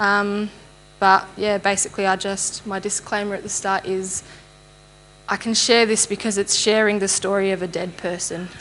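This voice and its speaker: A woman talks in an Australian accent at medium pitch. Her intonation is monotone and flat, her pace moderate. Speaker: church member giving testimony. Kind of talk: testimony. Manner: halting.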